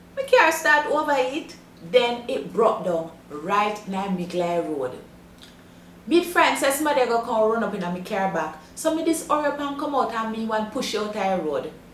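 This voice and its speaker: With a Jamaican accent, a woman speaks at a fairly high pitch and a moderate pace. Her pitch swings very widely, and there is noticeable background noise. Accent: broad Jamaican patois. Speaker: language teacher.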